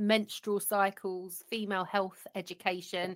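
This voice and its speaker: In a very clean recording with a silent background, a woman speaks with a British accent in a bright, sharp tone. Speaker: podcast host. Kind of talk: interview; read ad.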